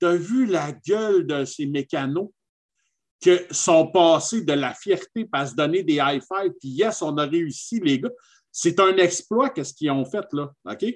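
A man's high-pitched voice with a Quebec accent, lively intonation and a very slow pace, over a quiet background. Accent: Québécois French. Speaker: podcast co-host. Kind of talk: casual chat. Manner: animated.

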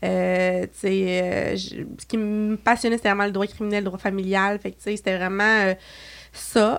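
Speaking at a very slow pace, a woman keeps a medium pitch in a monotone, flat intonation. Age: 20s. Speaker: beauty entrepreneur. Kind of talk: casual chat.

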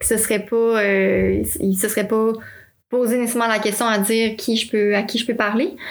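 The speaker keeps a moderate pace and very even loudness. The intonation stays fairly even. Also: woman, fairly high pitch for a woman. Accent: Quebec. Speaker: podcast host. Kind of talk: interview.

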